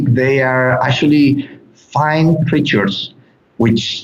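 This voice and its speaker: In a Mexican accent, a man at a medium pitch talks with fairly even intonation, and audible room echo surrounds his voice. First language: Spanish. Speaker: animal sanctuary guide. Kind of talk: interview. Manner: halting, frequent repetitions.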